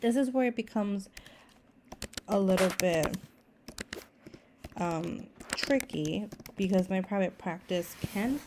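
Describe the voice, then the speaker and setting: A woman speaks fairly slowly at a medium pitch with ordinary pitch variation. Noticeable background noise runs behind her. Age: 30s. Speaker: therapist and budgeting vlogger. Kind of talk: tutorial. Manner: casual, with fillers and restarts.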